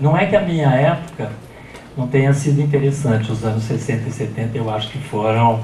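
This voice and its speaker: A man talks with ordinary pitch variation. Noticeable background noise and audible room echo come through. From Brazil. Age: 60s. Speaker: professor. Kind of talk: lecture. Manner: halting.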